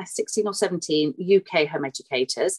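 A woman speaks at medium pitch with a British accent. The sound is dry and close, with no echo. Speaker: book editor and home-educating mother. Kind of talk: casual interview.

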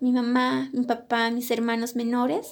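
Over a silent background in a very clean recording, a woman speaks slowly-ish at a fairly slow pace, high in pitch, with fairly even intonation. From Bolivian highlands, La Paz department (Colquiri). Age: young. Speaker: cook. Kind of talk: personal storytelling.

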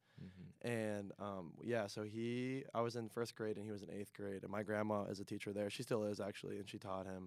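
A plain, everyday voice from a man with an American accent, fairly low-pitched, fairly quick and fairly even in intonation, with hardly any pauses. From Pittsburgh, Pennsylvania. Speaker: college student. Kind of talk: casual chat.

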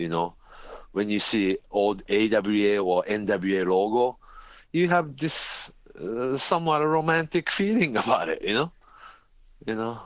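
A man talks in a Japanese accent at a fairly slow pace, with very wide pitch swings. He leaves long, frequent pauses. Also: medium pitch for a man. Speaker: wrestling journalist and announcer. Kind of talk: casual chat. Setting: remote call. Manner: halting.

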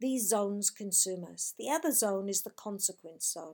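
A woman speaks at a fairly slow pace in an ordinary speaking voice. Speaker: podcast presenter and life coach. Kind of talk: scripted motivational talk. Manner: upbeat, conversational, encouraging.

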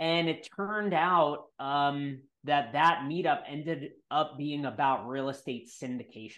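At a fairly slow pace, a man with an ordinary speaking voice talks at fairly high pitch with ordinary pitch variation over a quiet background. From New York. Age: 30s. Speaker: real estate investor. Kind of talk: interview.

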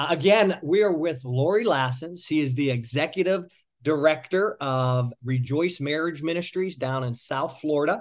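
A man with an ordinary speaking voice and a fairly high pitch talks at a moderate pace with hardly any pauses. His pitch variation is ordinary, and the background is quiet. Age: 40s. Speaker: podcast co-host and coach. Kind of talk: casual interview. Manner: loud.

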